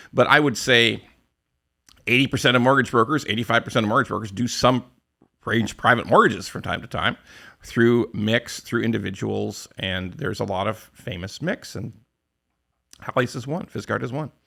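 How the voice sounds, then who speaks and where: Loud and bright, with a sharp tone and vocal fry, a man with a Canadian accent speaks at a medium pitch and a moderate pace, with ordinary pitch variation and long, frequent pauses, on a very clean recording with a silent background. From western Canada. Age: 60s. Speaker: podcast host, mortgage broker. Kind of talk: casual interview.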